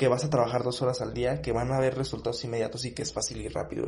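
Noticeable background noise surrounds a man as he talks. The room adds an audible echo. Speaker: motivational podcast host. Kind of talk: motivational monologue. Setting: home studio. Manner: energetic, with filler words.

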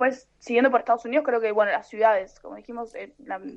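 Speaking at a very fast pace, a woman with a Rioplatense accent uses a fairly high pitch and fairly even intonation. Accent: Argentine Spanish (rioplatense). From Argentina. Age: 30s. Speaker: traveler and translator. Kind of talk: interview conversation.

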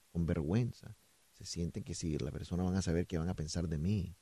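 A man's very deep, low voice, dark and mellow in tone, at a moderate pace, with a dry, close sound and no echo. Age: 40s. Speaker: police spokesman. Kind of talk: radio interview.

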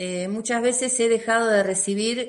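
A woman's medium-pitched voice with an Argentine accent, fairly slow and fairly even in intonation. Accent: Argentine Spanish (Rioplatense). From Argentina. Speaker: emotional release therapist. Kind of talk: interview.

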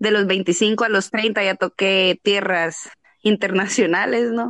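A woman speaks in a plain, everyday voice at a medium pitch, with ordinary pitch variation. The sound is dry and close with no echo, over a quiet background. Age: 30s. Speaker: adult content creator. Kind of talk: casual chat.

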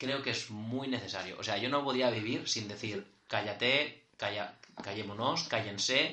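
The voice moves at a fairly slow pace with ordinary pitch variation. Noticeable background noise sits behind it. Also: man, medium pitch for a man. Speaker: podcast co-host. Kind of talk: casual chat.

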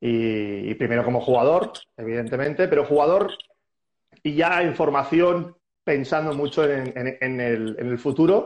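A man speaks at a fairly slow pace in a normal speaking voice. His pitch is fairly high, with ordinary pitch variation. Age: 40s. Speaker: squash coach and former player. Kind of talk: casual interview.

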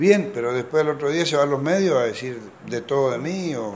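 The man talks at a moderate pace, his pitch varying in an ordinary way. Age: 50s. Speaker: politician, incoming mayor. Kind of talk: news interview. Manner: halting, many fillers.

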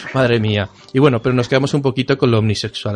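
A man talks over noticeable background noise. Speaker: podcast host. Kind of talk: casual chat.

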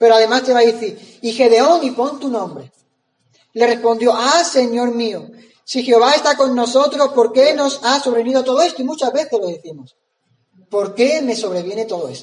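An animated tone at a moderate pace, with ordinary pitch variation. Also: man, extremely high pitch for a man. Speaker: preacher. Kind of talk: sermon, preaching with prayer. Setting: church. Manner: animated, rhetorical questions, conversational; earnest, pausing and repeating phrases.

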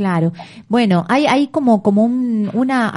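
A woman's fairly high, somewhat breathy voice with lively intonation and a fairly slow pace. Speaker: radio host. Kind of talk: casual radio chat. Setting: radio studio.

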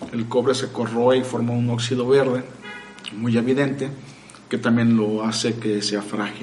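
Over music in the background, the speaker talks at a moderate pace in a monotone, flat intonation, with audible room echo. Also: man. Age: 30s. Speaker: freemason lecturer. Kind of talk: casual chat.

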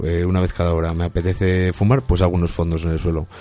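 With a Castilian accent, a man speaks at a very fast pace in a very deep, low pitch and a dark, mellow tone against a quiet background. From Burgos, Spain. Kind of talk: casual chat.

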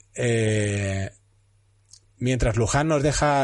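A somewhat breathy voice over a quiet background. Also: man. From Spain, Castellón. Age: 40s. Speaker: podcast host. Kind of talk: casual interview.

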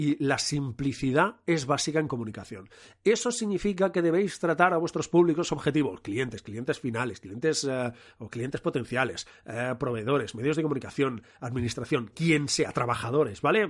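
A man's fairly high voice with lively intonation at a moderate pace, against a quiet background. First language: Catalan (speaking Spanish). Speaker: podcast host, communication consultant. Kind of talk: casual solo podcast monologue. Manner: animated.

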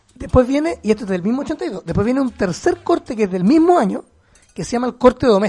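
Very fast and extremely high-pitched, a man with a Chilean accent speaks with very wide pitch swings. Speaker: podcast co-host. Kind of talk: casual chat. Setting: remote recording.

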